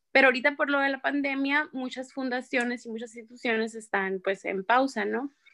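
At a fairly quick pace and with hardly any pauses, a woman speaks in a high-pitched voice with a bright, sharp tone. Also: fairly even intonation. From Mexico, Sonora. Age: 20s. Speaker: psychologist. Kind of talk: interview.

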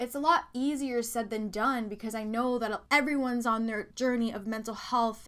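Her tone is bright and sharp, a woman speaking at a fairly high pitch. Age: 20s. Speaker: podcast host, self-help speaker. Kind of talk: solo motivational monologue.

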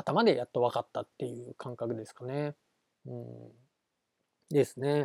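A man's voice at a fairly slow pace, with ordinary pitch variation, long, frequent pauses, big swings in loudness and a dry, close sound with no echo. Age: 30s. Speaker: solo podcast host. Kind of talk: casual solo monologue.

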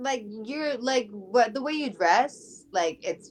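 Her voice high in pitch, a woman speaks with lively intonation and an American accent. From Connecticut, US. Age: 20s. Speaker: podcast guest. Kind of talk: casual chat.

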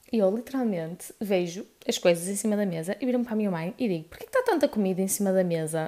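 A woman with a European Portuguese accent speaks at a very fast pace with hardly any pauses. Her medium-pitched voice shows ordinary pitch variation. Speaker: podcaster. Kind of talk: casual chat. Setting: at home, on living room floor.

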